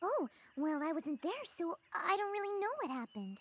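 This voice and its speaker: This cartoonish character voice sits at an extremely high pitch and swings very widely. The pace stays moderate. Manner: soft-spoken, gentle.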